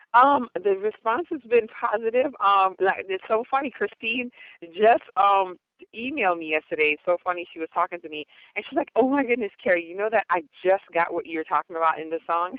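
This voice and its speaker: With an American accent, a woman at a medium pitch speaks fairly quickly, her intonation lively and her loudness swinging widely. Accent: American-sounding, speaks proper English. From Jamaica. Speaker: gospel dancehall artist. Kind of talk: radio interview. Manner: talks properly, formal speech that contrasts with her raw patois deejaying.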